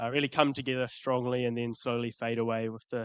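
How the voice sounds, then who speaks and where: A man's medium-pitched voice with a New Zealand accent, fairly quick and monotone, with flat intonation and a dry, close sound with no echo. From New Zealand, Christchurch. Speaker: youth climate advocate. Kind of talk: panel discussion. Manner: halting, many fillers.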